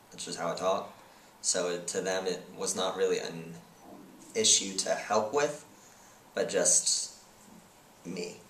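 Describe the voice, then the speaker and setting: There is audible room echo as a man speaks. He takes long, frequent pauses. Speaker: person who stutters, interviewed. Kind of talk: interview. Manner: halting, with blocks and repetitions.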